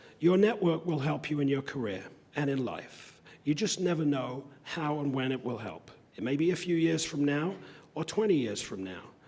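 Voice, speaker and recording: A man speaks at a fairly high pitch with lively intonation over noticeable background noise. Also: moderate pace. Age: 60s. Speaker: convocation speaker. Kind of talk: commencement speech.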